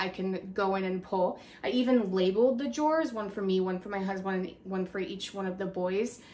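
There is light noise behind this woman's voice. She keeps a moderate pace. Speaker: mom vlogger. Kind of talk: casual vlog tutorial. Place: home room. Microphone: phone near.

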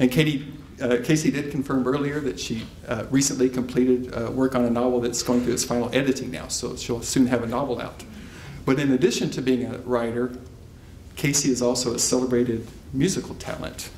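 Monotone, flat intonation at a fairly quick pace, with audible room echo and light background noise. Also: man. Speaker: event host. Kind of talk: formal introduction. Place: hall. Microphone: podium.

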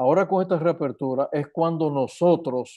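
Against a quiet background, a man with a dark, mellow tone speaks at a very slow pace with ordinary pitch variation. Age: 70s. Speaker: physician; guest. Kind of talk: interview. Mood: earnest, concerned. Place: home room. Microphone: earbuds.

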